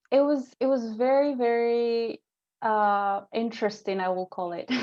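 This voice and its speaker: A woman with a Spanish accent at a fairly high pitch, very slow pace and ordinary pitch variation, against a quiet background. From Peru, Ica desert region. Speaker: guest from another country. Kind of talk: casual interview. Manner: hesitant, many fillers.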